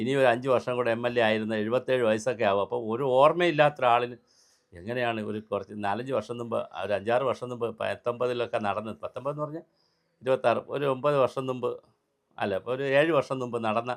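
A man speaks at a medium pitch with fairly even intonation in a plain, everyday voice. The recording is very clean, with a silent background. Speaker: political commentator. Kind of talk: political commentary monologue. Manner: sarcastic, mocking.

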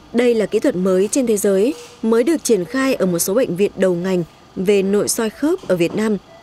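With music playing in the background, a woman talks at a moderate pace and medium pitch, with ordinary pitch variation. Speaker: TV reporter. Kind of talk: scripted narration.

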